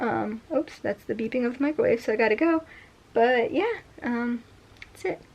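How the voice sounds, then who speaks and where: Amid noticeable background noise, a woman with a high voice speaks at a moderate pace with lively intonation and long, frequent pauses. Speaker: cosplayer and content creator. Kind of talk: casual vlog. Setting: at home. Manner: casual, filler-heavy.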